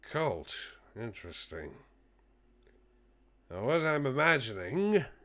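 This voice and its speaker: In a put-on character voice, a man speaks raspily at a medium pitch with very wide pitch swings, a fairly slow pace and long, frequent pauses, on a very clean recording with a silent background. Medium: virtual streamer. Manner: measured, speculative.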